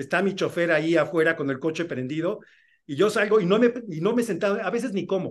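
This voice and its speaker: This man talks at a fairly quick pace in a high voice. His pitch varies in an ordinary way. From Mexico City. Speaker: film and TV director. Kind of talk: interview. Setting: video call. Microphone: video call.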